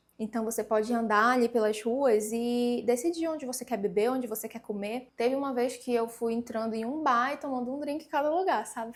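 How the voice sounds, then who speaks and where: At a moderate pace, a woman speaks in an animated tone with a high pitch. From Pará, northern Brazil. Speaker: travel vlogger. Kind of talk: casual travel tips vlog. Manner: conversational, animated.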